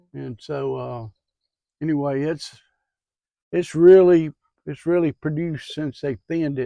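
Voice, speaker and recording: A man with a Southern US accent speaks at a moderate pace in a relaxed, dark, mellow tone. His pitch is fairly high with ordinary variation, and the sound is dry and close with no echo. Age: 70s. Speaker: farmer. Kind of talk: casual farm tour talk. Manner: relaxed, hesitant.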